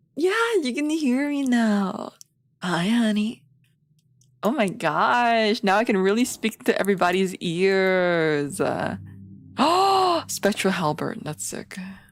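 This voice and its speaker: Over music in the background, a woman speaks at a very slow pace and medium pitch with very wide pitch swings. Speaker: vtuber streamer. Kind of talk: gaming livestream chat. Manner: animated.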